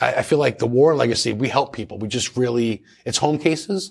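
This man talks at a very fast pace with lively intonation. His pitch is medium. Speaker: paranormal investigator and radio host. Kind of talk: casual interview chat. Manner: friendly, chatty.

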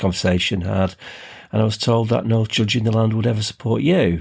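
A man talks with a normal speaking voice at a fairly low pitch and a fairly quick pace. His pitch varies an ordinary amount, on a very clean recording with a silent background. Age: 50s. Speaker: podcast co-host. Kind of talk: casual chat.

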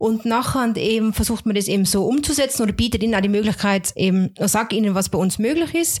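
A woman with an unremarkable speaking voice talks at a fairly high pitch. Her pace is moderate and her pitch variation ordinary. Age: 30s. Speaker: home care nurse. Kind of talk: interview.

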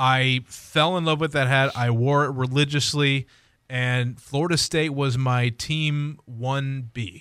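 In a very clean recording with a silent background, a man speaks very slowly in a fairly high pitch with fairly even intonation. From Columbus, Ohio. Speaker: sports podcast host. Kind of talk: casual chat.

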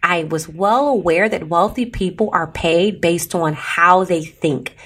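With an American accent, this voice has an animated tone, a fairly slow pace and ordinary pitch variation. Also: woman. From US Midwest, Chicago. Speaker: podcast host, entrepreneur. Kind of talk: solo podcast monologue.

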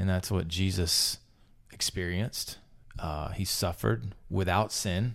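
A man talks at a fairly slow pace in a very deep, low voice with vocal fry and ordinary pitch variation. The recording is very clean, with a silent background. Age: 40s. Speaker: lead pastor hosting church podcast. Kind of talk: casual interview conversation.

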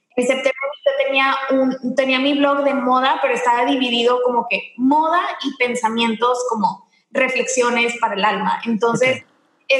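A woman with a high pitch speaks at a moderate pace, her loudness very even. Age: 20s. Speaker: entrepreneur and image consultant. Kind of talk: interview. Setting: remote call from home.

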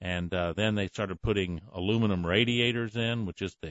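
Speaking in a normal speaking voice, a man holds a fairly low pitch and ordinary pitch variation. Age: 60s. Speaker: radio host. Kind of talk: call-in radio show.

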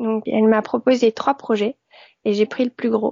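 Using a plain, everyday voice, a woman speaks at a fairly quick pace with a fairly high pitch and ordinary pitch variation. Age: 40s. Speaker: sewing blogger and pattern designer. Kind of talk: interview.

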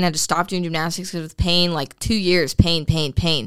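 A woman with a fairly low pitch speaks at a fairly quick pace with fairly even intonation, in a very clean recording with a silent background. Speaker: fitness podcast host and personal trainer. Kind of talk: casual chat. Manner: intense.

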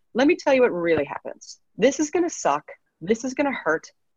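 A woman's vocal fry at a fairly quick pace with very wide pitch swings, in a dry, close sound with no echo. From Canada, Edmonton, Alberta. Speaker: business consultant and entrepreneur. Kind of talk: interview, personal story.

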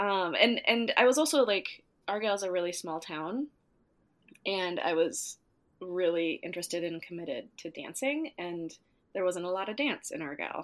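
On a very clean recording with a silent background, a woman with an American accent talks at a moderate pace and medium pitch, her intonation lively. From US Upper Midwest, northwestern Minnesota. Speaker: dance teacher and choreographer. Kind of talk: interview.

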